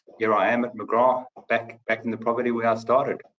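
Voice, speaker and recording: Speaking very fast, a man with a South African accent keeps to a medium pitch. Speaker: company finance chief. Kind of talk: webinar panel discussion. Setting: online webinar.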